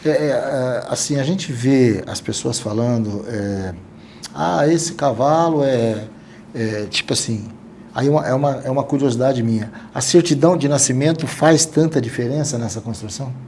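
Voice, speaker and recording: With noticeable background noise and audible room echo, a man speaks at a medium pitch with ordinary pitch variation. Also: moderate pace. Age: 60s. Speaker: podcast host. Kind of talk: casual interview chat.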